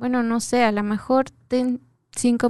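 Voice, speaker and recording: In a dry, close recording with no echo and a quiet background, a woman speaks fairly slowly. Her tone is dark and mellow, and her intonation is monotone and flat. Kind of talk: casual chat. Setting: radio studio booth. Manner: talkative.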